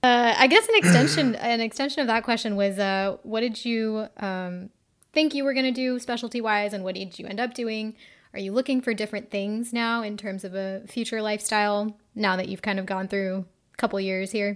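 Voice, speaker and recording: A woman with an unremarkable speaking voice talks at a moderate pace in a fairly high pitch, with ordinary pitch variation. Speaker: podcast host and medical student. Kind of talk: casual interview chat; podcast intro and outro monologue.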